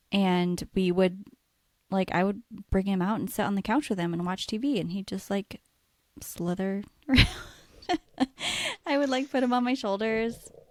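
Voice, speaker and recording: A woman speaks at a moderate pace in a medium pitch. There are long, frequent pauses, and her pitch varies in an ordinary way. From US Pacific Northwest, Washington state. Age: 30s. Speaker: podcast co-host, nurse. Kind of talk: casual chat.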